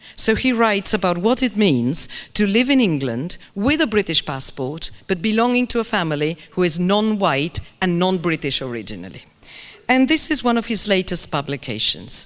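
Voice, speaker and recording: With a Spanish accent, a woman talks at a moderate pace in a medium pitch that moves through very wide swings. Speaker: English language teaching expert. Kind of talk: keynote lecture. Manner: animated.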